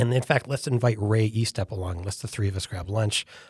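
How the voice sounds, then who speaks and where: A man with an American accent speaks at a fairly low pitch and sounds somewhat breathy. The recording is very clean, with a silent background. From upstate New York (Elmira). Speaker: futurist, company founder. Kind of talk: interview.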